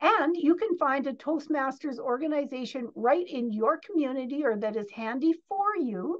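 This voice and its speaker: Against a quiet background, a woman speaks at a moderate pace in a high voice. Her intonation is lively. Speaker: interview guest. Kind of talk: interview answer.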